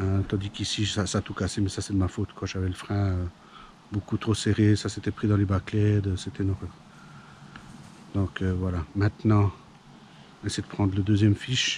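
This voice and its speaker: A man with a fairly low pitch talks at a moderate pace in a monotone, flat intonation, leaving long, frequent pauses against noticeable background noise. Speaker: fishing youtuber. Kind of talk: outdoor vlog commentary. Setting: outdoors by a pond. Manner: hesitant, many fillers.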